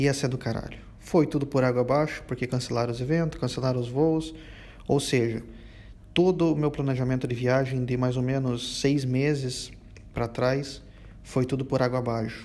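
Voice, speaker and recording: Here a man talks at a moderate pace with fairly even intonation. His tone is dark and mellow. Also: medium pitch for a man. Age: 20s. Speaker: podcast host. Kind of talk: monologue rant. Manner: halting.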